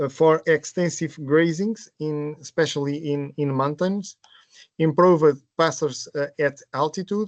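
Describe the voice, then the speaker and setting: Dry and close with no echo, a man's fairly high-pitched voice carries a Portuguese accent, speaking at a fairly slow pace with fairly even intonation. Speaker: project presenter. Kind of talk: webinar presentation. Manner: halting.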